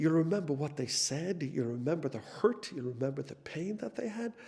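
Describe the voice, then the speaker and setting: Speaking with a Dublin accent, a man uses a fairly high, somewhat breathy voice, lively intonation and a fairly quick pace. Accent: Dublin Irish. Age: 60s. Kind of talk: testimony. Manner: halting, frequent repetitions.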